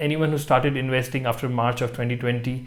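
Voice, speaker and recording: A man talks fairly quickly, his voice sitting at a medium pitch. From India. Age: 30s. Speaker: retail investor. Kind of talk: scripted monologue.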